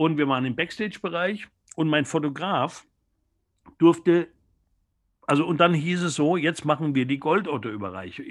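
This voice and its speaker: On a very clean recording with a silent background, a man speaks at a fairly high pitch with vocal fry. His intonation is lively, his pace moderate, with long, frequent pauses. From Germany, near Mannheim. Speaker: music journalist. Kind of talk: interview.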